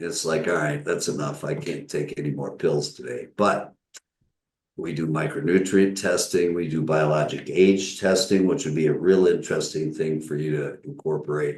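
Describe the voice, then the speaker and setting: A man speaks with an American accent. The room echo is audible. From US Midwest (Northern Michigan). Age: 70s. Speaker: physician. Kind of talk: interview.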